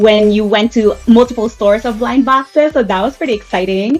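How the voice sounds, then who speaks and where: Fairly high pitch from a woman, varying in an ordinary way. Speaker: collector and interviewer. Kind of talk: interview host.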